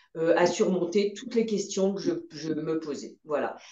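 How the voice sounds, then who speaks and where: In a room with audible echo, a woman at medium pitch speaks at a fairly slow pace with a dark, mellow tone and ordinary pitch variation. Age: 60s. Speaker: patient. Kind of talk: testimony. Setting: video call.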